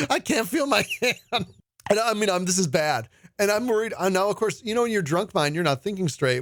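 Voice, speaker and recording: With music in the background, a man speaks at a high pitch in an animated tone, his intonation lively and his loudness very even. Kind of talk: radio show banter, storytelling. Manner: jokey, animated.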